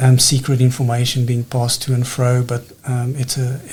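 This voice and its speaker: Somewhat breathy, a man speaks at a fairly quick pace in a monotone, flat intonation. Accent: South African. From South Africa. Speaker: planning official. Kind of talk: interview. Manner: hesitant, many fillers.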